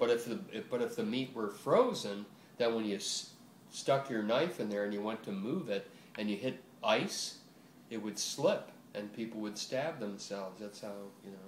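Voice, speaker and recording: Over noticeable background noise, a man with an American accent talks at a moderate pace and medium pitch with ordinary pitch variation. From Buffalo, New York. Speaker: retired butcher. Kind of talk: oral history interview answer. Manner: casual, hesitant, many fillers.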